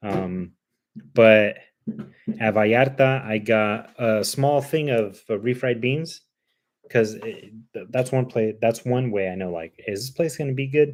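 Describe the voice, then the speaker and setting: A man's medium-pitched voice, fairly slow, with ordinary pitch variation. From Cuban heritage. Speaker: vlogger, live streamer. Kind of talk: casual live stream chat. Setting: live stream on laptop webcam. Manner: animated.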